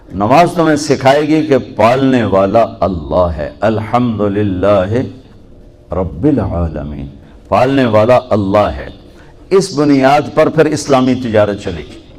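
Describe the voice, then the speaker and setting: A man speaks with very wide swings in pitch. Noticeable background noise runs underneath. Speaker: Islamic preacher. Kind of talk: religious sermon to a youth audience.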